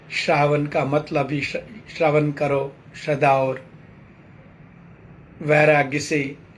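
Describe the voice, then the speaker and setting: A man with a fairly high, somewhat breathy voice speaks in a flat monotone at a very slow pace. He leaves long, frequent pauses, and the room echo is audible. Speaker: spiritual teacher. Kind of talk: sermon.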